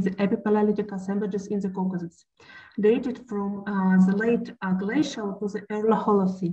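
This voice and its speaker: Against a quiet background, a woman speaks fairly quickly in a dark, mellow tone that is somewhat breathy. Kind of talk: lecture. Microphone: webcam.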